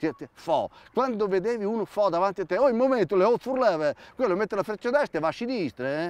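A man speaks at a fairly quick pace in a high voice with lively intonation. The sound is dry, with no echo. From Romagna, Italy (Villanova di Bagnacavallo, Ravenna). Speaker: actor and comedian. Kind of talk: comic monologue. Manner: animated. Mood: ironic, humorous. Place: open country.

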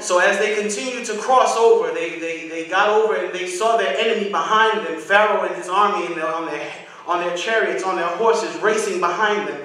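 A man with a high pitch and ordinary pitch variation talks in a raised, projected voice at a fairly quick pace. He leaves hardly any pauses, and the room echo is strong. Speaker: guest preacher. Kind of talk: sermon. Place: church. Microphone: podium.

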